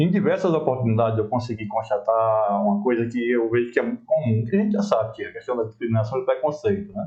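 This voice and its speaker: The speech races at a very fast pace in a northeastern Brazilian accent, with very wide pitch swings. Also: man, medium pitch for a man. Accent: local northeastern Brazilian. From Brasília. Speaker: talk show host. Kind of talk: interview.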